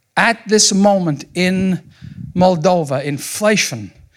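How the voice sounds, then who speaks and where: Speaking with a Scottish accent, a man has a high pitch and ordinary pitch variation. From Scotland. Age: 60s. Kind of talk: sermon. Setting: church with congregation.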